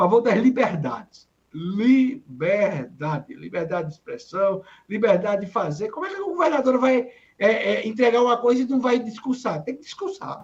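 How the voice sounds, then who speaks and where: Big swings in loudness and very wide pitch swings at a moderate pace. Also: man, extremely high pitch for a man. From Mossoró, Rio Grande do Norte, Brazil. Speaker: political commentator, journalist and lawyer. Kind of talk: political talk show commentary.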